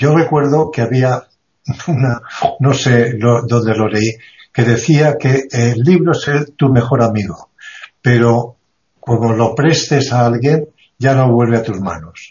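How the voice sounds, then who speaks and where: A man of medium pitch talks very slowly, with long, frequent pauses. His voice is somewhat breathy and has ordinary pitch variation. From Mallorca, Spain. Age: old. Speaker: retired university teacher. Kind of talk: casual chat.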